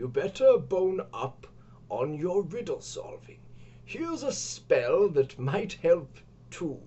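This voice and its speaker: A man speaks in a put-on character voice. His pitch is high and his pace fairly slow. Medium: read story. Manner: offhand, disinterested.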